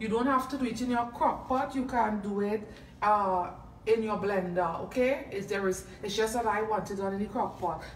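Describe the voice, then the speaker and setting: A woman with a Trinidadian accent, fairly high in pitch with ordinary pitch variation, plus audible room echo and light background noise. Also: moderate pace. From Trinidad and Tobago. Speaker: home cook and food video creator. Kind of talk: cooking tutorial. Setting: home kitchen. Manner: casual, hesitant with frequent fillers. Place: kitchen. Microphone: phone near.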